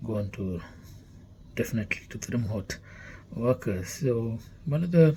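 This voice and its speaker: Speaking at a fairly slow pace, a man with a Keralan accent has a dark, mellow, somewhat breathy tone and lively intonation. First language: Malayalam. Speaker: company CEO. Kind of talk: company introduction talk. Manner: halting, many fillers.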